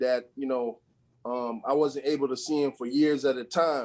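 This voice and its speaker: At a fairly slow pace, a man with a fairly high pitch talks in an unremarkable speaking voice. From US Virgin Islands, Saint Croix. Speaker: assistant basketball coach. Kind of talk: interview. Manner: casual, filler-heavy.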